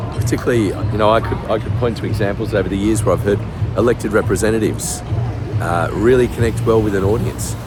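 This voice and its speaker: With music in the background, a man talks at a very fast pace in an Australian accent, his pitch fairly low and his intonation fairly even. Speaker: executive communication coach. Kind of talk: casual talk to camera. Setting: outdoors.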